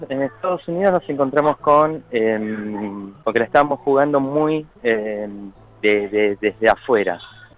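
Over noticeable background noise, a man with a medium pitch speaks at a fairly slow pace with lively intonation. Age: 40s. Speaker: parent via surrogacy. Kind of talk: interview.

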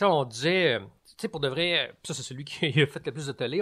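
In a very clean recording with a silent background, a man with a normal speaking voice and fairly high pitch talks at a moderate pace with ordinary pitch variation. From Quebec, Laurentides. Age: 40s. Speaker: storyteller. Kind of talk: casual chat.

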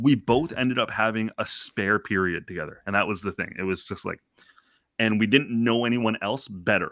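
A man with an Ontario accent, medium-pitched, with ordinary pitch variation and a dry, close sound free of echo. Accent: Canadian (Ontario). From Canada, Scarborough (Toronto). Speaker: parenting and pop culture podcaster. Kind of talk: casual interview chat.

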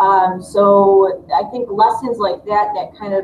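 Against noticeable background noise, a woman with a Midwestern American accent talks at medium pitch with ordinary pitch variation. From Dearborn, Michigan, US. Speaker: high school teacher. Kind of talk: panel discussion. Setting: video call.

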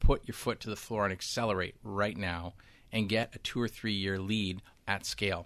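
Fairly even intonation in a man's fairly low-pitched, a normal speaking voice. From Canada. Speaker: business executive. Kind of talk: interview.

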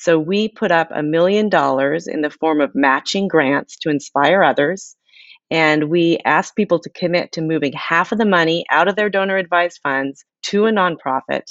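With an ordinary speaking voice, a woman talks at a moderate pace with fairly low pitch and ordinary pitch variation. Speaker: author. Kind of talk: interview. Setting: remote from home.

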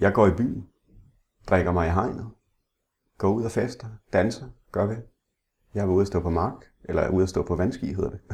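Pausing long and often, a man speaks at a moderate pace in a somewhat breathy, fairly low voice with ordinary pitch variation. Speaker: blind interviewee, former salesman. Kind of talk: interview. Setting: at home. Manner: halting, repeats words.

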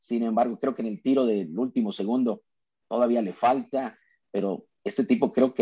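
Lively in intonation, a man with a medium pitch and a dark, mellow tone talks at a moderate pace. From Mexico, Sonora (Cananea). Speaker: basketball play-by-play announcer. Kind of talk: casual interview chat.

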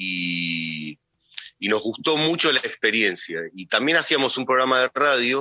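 A man speaks with a Rioplatense accent and ordinary pitch variation. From Argentina, Hurlingham (Buenos Aires area). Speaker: film director. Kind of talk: radio interview. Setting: phone call. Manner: halting.

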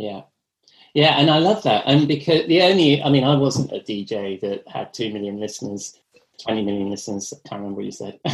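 A man with an English accent talks at a fairly quick pace, his pitch swinging very widely and his loudness shifting in big swings. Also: medium pitch for a man. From England. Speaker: podcast host and editor. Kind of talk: casual interview.

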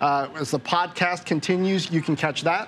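A high-pitched man with ordinary pitch variation, over noticeable background noise. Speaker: TV business show host. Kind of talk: interview show hosting.

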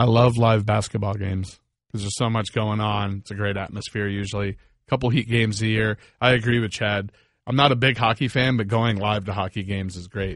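With a plain, everyday voice and an American accent, a man speaks at a fairly low pitch and fairly quick pace, his intonation fairly even over a quiet background. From Northern Virginia. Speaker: rock band member. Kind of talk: casual chat. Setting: studio.

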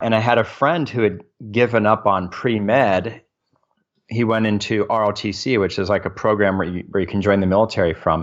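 A man's normal speaking voice, at a fairly quick pace with ordinary pitch variation. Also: fairly low pitch for a man. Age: 40s. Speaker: military service member and real estate investor. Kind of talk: interview. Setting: remote call.

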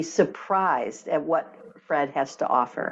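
A woman speaks with lively intonation and an American accent. Hers is an unremarkable speaking voice. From US Midwest, Michigan. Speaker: energy healer and author. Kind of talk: interview.

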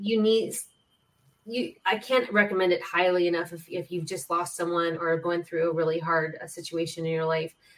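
At a moderate pace, a woman with a plain, everyday voice speaks at a fairly low pitch. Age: 50s. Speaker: podcast host, spiritual healer. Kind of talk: casual chat.

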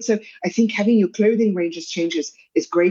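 The speech moves at a fairly quick pace with ordinary pitch variation. It is delivered in a South African accent. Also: woman. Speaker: pediatric dietitian. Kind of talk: interview.

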